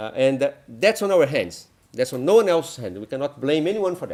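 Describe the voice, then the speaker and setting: In a Brazilian accent, a man talks at a very fast pace with ordinary pitch variation, in a very clean recording with a silent background. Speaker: NGO leader. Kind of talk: conference presentation. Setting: conference talk with audience. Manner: hesitant with frequent fillers.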